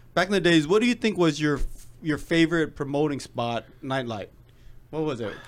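Using an ordinary speaking voice, a man with an American accent talks at a moderate pace in a fairly high pitch with lively intonation. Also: very clean recording, silent background. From Seattle, US Pacific Northwest. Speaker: podcast host and former nightclub promoter. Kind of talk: casual chat.

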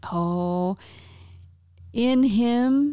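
This woman's tone is dark and mellow. She uses lively intonation. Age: 50s. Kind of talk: faith-based casual chat.

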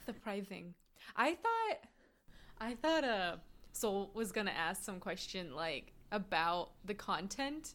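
A woman with an American accent speaks very slowly at medium pitch, with long, frequent pauses. Her voice moves in very wide pitch swings. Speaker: podcast co-host. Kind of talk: casual recap chat.

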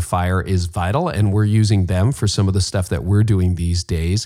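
With a Canadian accent, a man talks at a moderate pace and a fairly low pitch, in a plain, everyday voice. The recording is very clean, the background silent. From Canada. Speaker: podcast host. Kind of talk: interview conversation.

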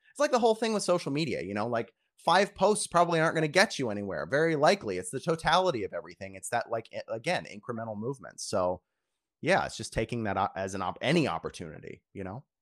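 A very fast man's voice with vocal fry and very wide pitch swings, in an American accent, dry and close with no echo on a very clean recording with a silent background. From Virginia. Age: 30s. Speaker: creative director. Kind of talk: casual interview. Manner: frequent fillers.

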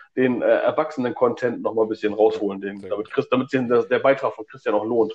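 At a moderate pace, this man speaks with lively intonation. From northern Germany, Stemwede area. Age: 40s. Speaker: podcast co-host, film fan. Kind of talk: casual chat. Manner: hesitant, many fillers.

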